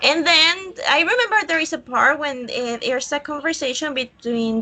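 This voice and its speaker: A woman talks in a raised, projected voice with a Colombian accent. Her pitch varies in an ordinary way, and there is noticeable background noise. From Colombia, Villavicencio. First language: Spanish. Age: 20s. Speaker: student. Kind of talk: online English class. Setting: video call. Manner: halting.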